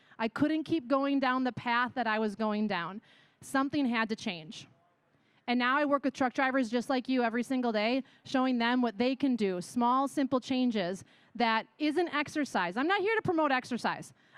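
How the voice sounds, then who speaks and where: A high-pitched woman with a Wisconsin accent, animated in tone, at a moderate pace with very even loudness and ordinary pitch variation, against a quiet background. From Wisconsin, US Midwest. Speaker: yoga instructor and wellness business owner. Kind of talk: conference talk.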